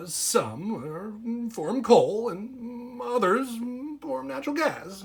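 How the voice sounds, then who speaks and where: A put-on character voice, fairly high in pitch, at a very slow pace. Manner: comically exaggerated, funny.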